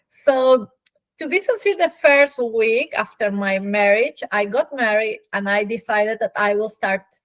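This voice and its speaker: A woman with a Peruvian accent speaks at a fairly slow pace in a fairly high pitch, the sound dry and close with no echo. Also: ordinary pitch variation. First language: Spanish. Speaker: physician. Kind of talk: interview.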